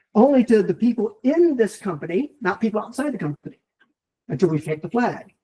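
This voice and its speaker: In an American accent, a man speaks at a fairly quick pace with a high pitch, a dark, mellow tone and lively intonation. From US. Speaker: tech conference speaker. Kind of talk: technical talk. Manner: fast; animated.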